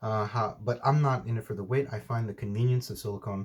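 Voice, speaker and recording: Somewhat breathy, a man speaks very fast in a medium pitch with ordinary pitch variation. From United States, Mexican family. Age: 30s. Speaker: outdoor vlogger. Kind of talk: Q&A vlog. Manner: hesitant, with many fillers.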